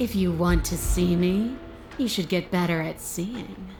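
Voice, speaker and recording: A put-on character voice, female-sounding and growling, with a menacing tone, medium pitch and fairly slow pace over clear background noise. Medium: video game. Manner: menacing, taunting.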